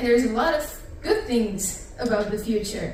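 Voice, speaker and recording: A woman speaks at a moderate pace with a fairly high pitch, her voice carrying audible room echo over noticeable background noise. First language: not English. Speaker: pastor. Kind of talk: sermon. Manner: casual, interactive.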